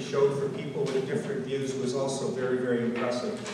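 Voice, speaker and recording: Against noticeable background noise and strong room echo, a man talks at a fairly quick pace with ordinary pitch variation. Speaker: host of public meeting. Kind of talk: public speech. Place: hall.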